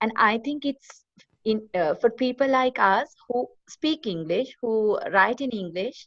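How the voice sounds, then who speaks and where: A woman with a Sri Lankan accent speaks at a fairly slow pace in a fairly high voice, her intonation lively and the sound dry and close with no echo. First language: Sinhala. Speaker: online course participant. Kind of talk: webinar discussion.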